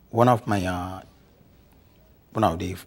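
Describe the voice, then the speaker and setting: Somewhat breathy, a man with a Nigerian accent speaks at a fairly slow pace in a very deep, low pitch with ordinary pitch variation. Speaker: lawyer, immigrant interviewee. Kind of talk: interview. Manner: halting.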